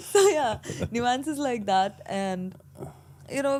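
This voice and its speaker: A woman's voice swings very widely in pitch. Background noise is noticeable. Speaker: entrepreneur. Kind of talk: interview conversation.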